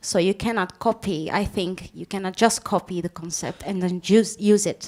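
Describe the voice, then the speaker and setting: In a Dutch accent, a woman talks at a moderate pace and medium pitch. Her intonation stays fairly even. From Belgium. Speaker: panel moderator. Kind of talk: panel discussion. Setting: stage with audience.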